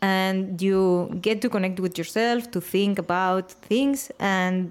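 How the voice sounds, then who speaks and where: Woman of medium pitch with a strong Spanish accent and ordinary pitch variation, on a very clean recording with a silent background. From Spain, Valencia. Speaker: interviewer. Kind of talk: interview.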